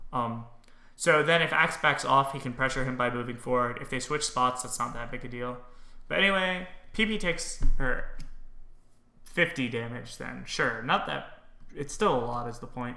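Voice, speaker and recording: The man's tone is bright and sharp, with big swings in loudness. Room echo is audible. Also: ordinary pitch variation, moderate pace. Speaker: game streamer and commentator. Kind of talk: game analysis commentary. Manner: casual, with frequent fillers.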